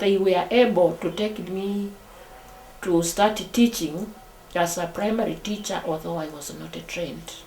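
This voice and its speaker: A woman speaks at a fairly slow pace with ordinary pitch variation. Music plays behind her, and the room adds audible echo. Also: medium pitch for a woman. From Kenya. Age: 70s. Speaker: retired teacher. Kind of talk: interview testimony. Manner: halting.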